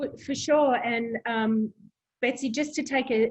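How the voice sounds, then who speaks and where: A woman speaks with an Australian accent, her voice somewhat breathy. She keeps a moderate pace and a fairly even intonation. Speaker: proptech company president. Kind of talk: interview.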